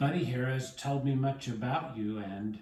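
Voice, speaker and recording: Putting on a character voice, a man speaks at a moderate pace and medium pitch with ordinary pitch variation. A slight echo is present. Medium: read story. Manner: hesitant, stuttering.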